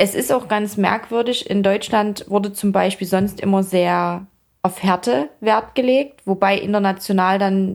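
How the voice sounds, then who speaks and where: At a fairly slow pace, a woman speaks with fairly even intonation and a medium pitch. She has an unremarkable speaking voice. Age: 30s. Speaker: fitness athlete and influencer. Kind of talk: casual interview.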